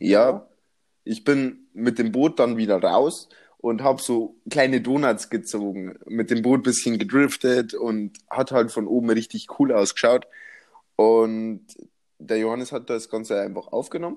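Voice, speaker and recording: A man at medium pitch, fairly slow pace and ordinary pitch variation, in a very clean recording with a silent background. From Bavaria. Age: 20s. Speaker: podcast co-host. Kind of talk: casual chat.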